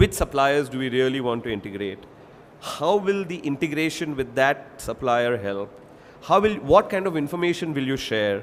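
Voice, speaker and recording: Speaking with an Indian accent, a man makes very wide pitch swings amid noticeable background noise. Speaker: industry expert panelist. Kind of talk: panel presentation.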